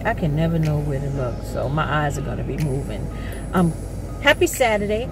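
A woman speaks at a moderate pace. The sound is dry with no echo, with noticeable background noise. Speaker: vlogger. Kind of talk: casual talk to camera. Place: car. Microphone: phone near.

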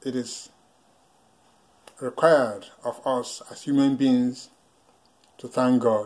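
At a slow pace, a man talks at a medium pitch with a slightly mellow tone and fairly even intonation.

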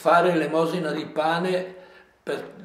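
Speaking very slowly in a monotone, flat intonation with a strong Lombard accent, the voice carries audible room echo. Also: man. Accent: strong Livigno dialect. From Livigno, Lombard Alps, northern Italy; Lombardy, Italy. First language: Livignasco dialect (speaking Italian). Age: 80s+. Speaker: elderly local storyteller. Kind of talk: interview reminiscence. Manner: halting, many repetitions.

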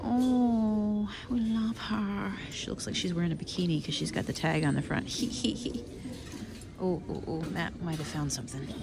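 Noticeable background noise behind a woman's moderate pace of speech. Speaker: thrift shopper vlogger. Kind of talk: casual vlog chat. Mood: excited, playful. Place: shop. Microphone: phone near.

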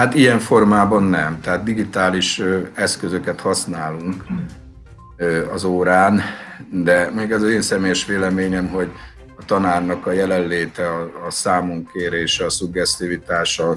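Over faint background music, a man with a very deep, low pitch speaks at a fairly slow pace with fairly even intonation and long, frequent pauses. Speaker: school teacher. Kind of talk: interview answer. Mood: calm, thoughtful. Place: shop. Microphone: video call.

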